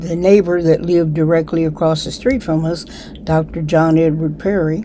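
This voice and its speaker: Noticeable background noise sits behind this recording. A woman speaks in a fairly low voice with an American accent. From US Midwest. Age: 80s+. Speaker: community elder. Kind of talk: interview. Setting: library.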